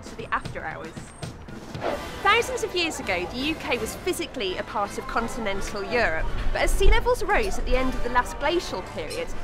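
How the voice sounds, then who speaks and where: A woman's fairly quick speech, dry with no echo, over clear background music. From north Wales. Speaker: archaeologist and TV presenter. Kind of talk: documentary presenting to camera. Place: garden.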